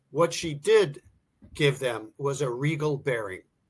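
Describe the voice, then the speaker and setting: A man speaks with an American accent at a fairly high pitch. His voice is somewhat breathy. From US Northeast, Philadelphia. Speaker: author. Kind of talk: interview. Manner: conversational, some false starts.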